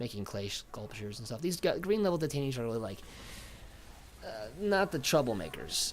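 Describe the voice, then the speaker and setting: Relaxed in tone, a man at medium pitch talks at a fairly quick pace with very wide pitch swings. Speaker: Navy veteran; gaming commentator. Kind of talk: gameplay commentary. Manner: relaxed, chill.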